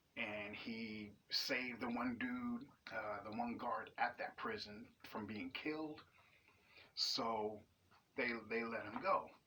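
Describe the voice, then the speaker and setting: The tone is bright and sharp. Pitch moves with ordinary variation. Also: man. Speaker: YouTube TV show reviewer. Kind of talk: casual spoken review. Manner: animated.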